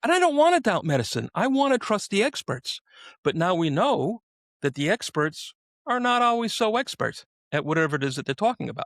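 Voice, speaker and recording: High-pitched and with a New York accent, a man speaks at a fairly quick pace with very wide pitch swings. The recording is very clean, dry and close, with a silent background and no echo. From New York City. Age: 60s. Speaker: podcast host. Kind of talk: casual interview chat.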